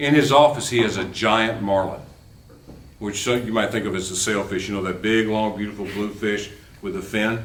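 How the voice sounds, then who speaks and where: Against noticeable background noise and audible room echo, a man with a fairly low voice speaks with fairly even intonation. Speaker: law professor. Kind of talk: lecture. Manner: fast.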